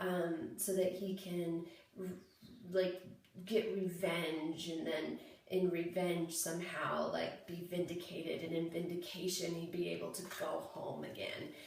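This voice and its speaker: Flat, monotone intonation from a woman at a fairly slow pace over noticeable background noise. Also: fairly low pitch for a woman. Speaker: playwright. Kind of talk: casual talk to camera. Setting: bathroom. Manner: rambling, informal.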